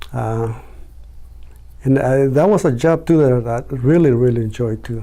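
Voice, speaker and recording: At a moderate pace, a man speaks in a normal speaking voice with a medium pitch and ordinary pitch variation. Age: 60s. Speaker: printer; army reserve veteran. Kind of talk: interview answer.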